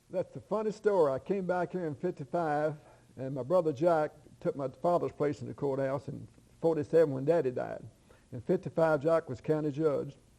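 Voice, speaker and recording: In a Kentucky accent, the voice runs at a fairly quick pace with a dark, mellow tone. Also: man, fairly high pitch for a man, ordinary pitch variation. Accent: southern US, Kentucky. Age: 70s. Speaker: retired farmer and former county official. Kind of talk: interview.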